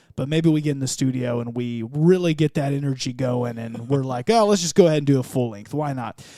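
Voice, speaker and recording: This man has a medium-pitched voice and a slight Southern US accent. He talks with hardly any pauses. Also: ordinary pitch variation. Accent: southern drawl, slight. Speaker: church podcaster and worship musician. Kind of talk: casual interview chat.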